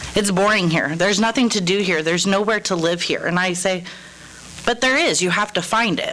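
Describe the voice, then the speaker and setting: A woman with a Midwestern American accent speaks at a fairly quick pace in a medium pitch, her loudness very even and her pitch varying in an ordinary way, with noticeable background noise. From Kansas, Topeka. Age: 30s. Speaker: resident speaking at public comment. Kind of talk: public comment at council meeting. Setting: city council meeting.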